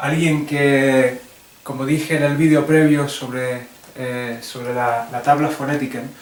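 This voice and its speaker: With audible room echo and noticeable background noise, a man speaks fairly slowly at fairly high pitch in a monotone, flat manner. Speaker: English teacher. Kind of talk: tutorial. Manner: halting.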